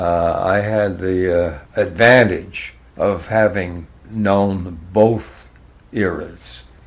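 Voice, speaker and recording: Fairly even intonation marks this man's speech in a New England accent. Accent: New England American. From Hartford, Connecticut, USA. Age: 90s. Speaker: former radio worker. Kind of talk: interview answer, reminiscing.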